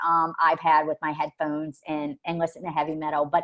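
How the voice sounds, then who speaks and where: Speaking at a fairly quick pace, the woman has a fairly low pitch. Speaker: forensic mental health evaluator. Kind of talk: webinar presentation. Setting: online webinar. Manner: loud; verbose.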